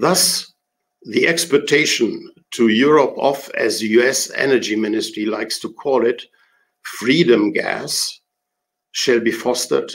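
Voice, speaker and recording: The voice carries a German accent. It moves at a fairly slow pace. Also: man. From Germany. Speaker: retired diplomat. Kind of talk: prepared talk.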